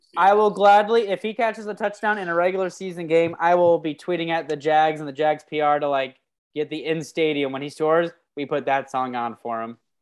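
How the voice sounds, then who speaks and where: In a normal speaking voice, a woman talks at a fairly quick pace with lively intonation. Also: fairly low pitch for a woman. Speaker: podcast host. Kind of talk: casual sports banter. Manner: excitable, hyped.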